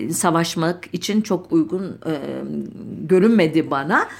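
A woman talks at a very slow pace in a fairly low pitch. There is noticeable background noise. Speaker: radio history program host. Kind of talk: radio talk on history. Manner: halting with many filler sounds.

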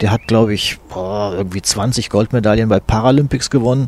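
A man speaks at a moderate pace with a dark, mellow tone. His pitch sits fairly low. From eastern Hesse, Fulda. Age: 60s. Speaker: sports journalist. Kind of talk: interview. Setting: at his home.

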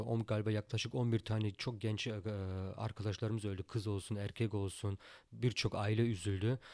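A man's fairly low voice at a moderate pace, on a very clean recording with a silent background. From Germany, Turkish family. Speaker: professional boxer. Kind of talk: interview. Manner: hesitant, many fillers.

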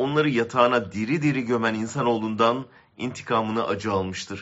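At a fairly quick pace, a man with an unremarkable speaking voice talks with ordinary pitch variation. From Ankara, Turkey. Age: 60s. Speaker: columnist. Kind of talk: reading aloud a personal essay.

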